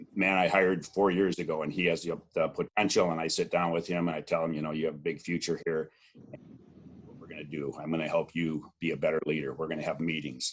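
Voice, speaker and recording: Speaking in a very deep, low voice, a man talks at a very fast pace with monotone, flat intonation and big swings in loudness. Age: 60s. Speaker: dairy farmer and cheesemaker. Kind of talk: interview.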